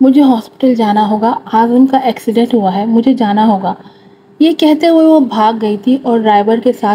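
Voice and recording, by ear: With ordinary pitch variation, the voice is reading aloud in a natural way.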